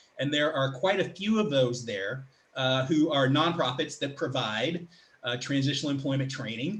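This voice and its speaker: A man with a medium pitch speaks at a fairly quick pace while noticeable background noise carries on behind him. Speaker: public speaker and career coach. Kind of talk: online presentation. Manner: fast.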